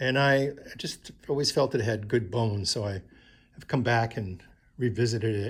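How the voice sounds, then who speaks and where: In a very clean recording with a silent background, a man talks in a relaxed, somewhat breathy voice. His pitch varies in an ordinary way. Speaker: artist. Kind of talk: studio tour. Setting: art studio. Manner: relaxed, halting with fillers.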